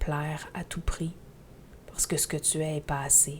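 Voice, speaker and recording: In a Quebec accent, a woman speaks very slowly with a very deep, low pitch. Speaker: spiritual teacher podcaster. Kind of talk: podcast monologue. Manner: loud.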